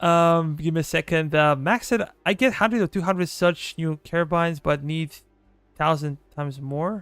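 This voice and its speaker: Music plays in the background as a man speaks with a Serbian accent. His voice is high-pitched, and the sound is dry and close with no echo. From Serbia, southeastern. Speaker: gaming streamer. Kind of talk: live gameplay stream chat.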